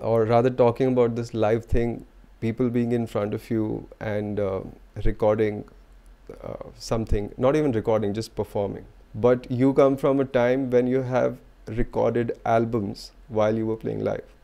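At a moderate pace, a man talks in a flat monotone with a dark, mellow tone. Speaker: podcast host. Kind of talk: interview question. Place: home room. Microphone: studio mic.

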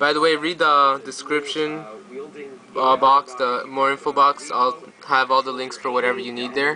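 A man speaks at a fairly high pitch with monotone, flat intonation. Noticeable background noise is present. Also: moderate pace. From Canada. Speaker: YouTuber; tutorial maker. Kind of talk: tutorial. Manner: halting. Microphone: phone near.

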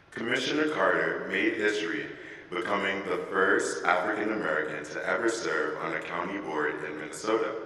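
Audible room echo follows a man talking at a fairly quick pace. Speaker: student event emcee. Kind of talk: formal introduction. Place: church. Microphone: podium.

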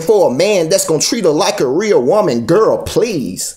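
Speaking fairly slowly, a man is heard against a quiet background. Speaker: spoken word poet. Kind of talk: spoken word poetry performance. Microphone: phone near.

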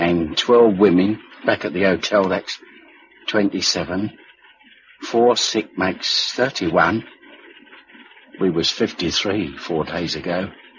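A man puts on a character voice, low in pitch with a husky, rough edge and a fairly bright tone. He goes at a slow pace with ordinary pitch variation and long, frequent pauses.

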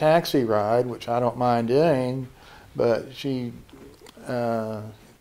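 The man's intonation is flat and monotone. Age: 60s. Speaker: dating show contestant. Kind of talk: interview answer. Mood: reflective, complaining about scams. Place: office. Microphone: handheld.

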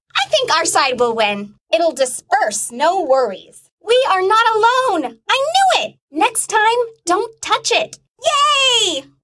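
A cartoonish character voice from a woman, extremely high in pitch, with very wide pitch swings at a fairly slow pace. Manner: upbeat.

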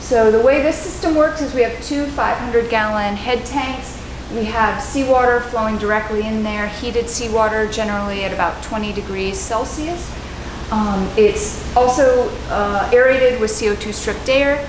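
A woman at a moderate pace with ordinary pitch variation, audible room echo and noticeable background noise. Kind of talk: technical tour explanation. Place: factory.

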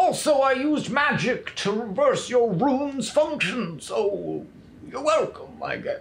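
In a put-on character voice, a man speaks at a fairly slow pace with an extremely high pitch. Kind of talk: archaic fantasy speech. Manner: solemn, grandiose.

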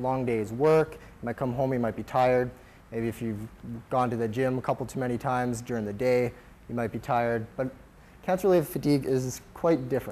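The man's pitch shifts in an ordinary way as he talks at a fairly quick pace. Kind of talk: lecture. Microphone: lapel.

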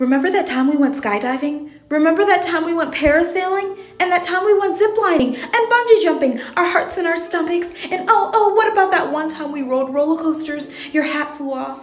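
Amid noticeable background noise, a woman with an extremely high pitch talks with lively intonation and hardly any pauses. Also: moderate pace. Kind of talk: spoken word poetry reading.

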